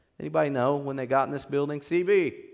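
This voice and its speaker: A man with an American accent speaks at a moderate pace and fairly high pitch. Audible room echo surrounds his voice. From US Midwest, southern Illinois (Metropolis, near Paducah). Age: 30s. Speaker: guest preacher sharing testimony. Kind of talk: testimony / sermon. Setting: church. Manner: casual, halting with fillers.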